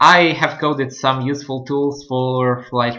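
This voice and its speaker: A non-native accent at a very slow pace. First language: not English. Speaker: gaming channel host. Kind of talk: gameplay commentary. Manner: halting.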